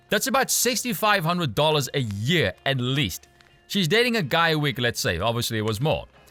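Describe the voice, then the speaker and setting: Over music in the background, a man talks at a fairly quick pace with a fairly high pitch and very wide pitch swings. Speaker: commentator reading and reacting to an article. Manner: sarcastic, mocking.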